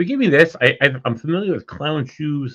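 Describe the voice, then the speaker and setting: A man speaks loudly at a moderate pace. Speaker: podcast host and paranormal investigator. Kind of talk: casual chat.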